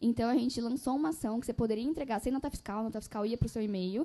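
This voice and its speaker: A fairly high-pitched female voice with ordinary pitch variation. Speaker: publishing executive. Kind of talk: panel discussion. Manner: fast.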